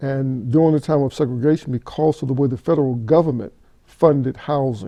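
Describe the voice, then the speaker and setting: Speaking with an ordinary speaking voice, a man holds a medium pitch and fairly even intonation. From West Virginia (Mount Hope, Appalachia). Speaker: pastor. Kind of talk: oral history interview. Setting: in person at a bible camp.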